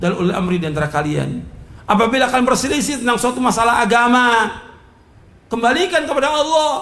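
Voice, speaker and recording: Loud and animated, a man talks at a fairly quick pace in an extremely high pitch, with audible room echo around him. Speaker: Islamic preacher. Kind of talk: sermon.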